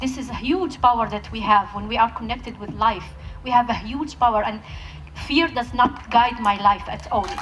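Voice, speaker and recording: Background music accompanies the clip. Over it, a woman talks at a moderate pace. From Palestinian Bedouin village in Israel. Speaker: peace activist speaker. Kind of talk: talk at a festival, with audience Q&A. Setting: stage with audience.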